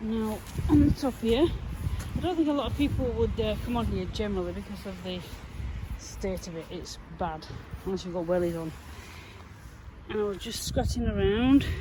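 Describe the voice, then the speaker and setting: A woman at a moderate pace with long, frequent pauses, big swings in loudness and audible room echo. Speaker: metal detecting vlogger. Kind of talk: casual vlog narration. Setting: outdoors.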